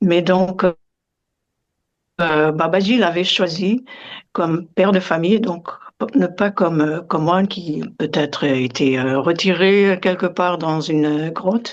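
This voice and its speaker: Speaking at a very slow pace with long, frequent pauses, a woman uses a fairly low pitch and ordinary pitch variation. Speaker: yoga meditation teacher. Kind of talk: interview. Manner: halting, many hesitations.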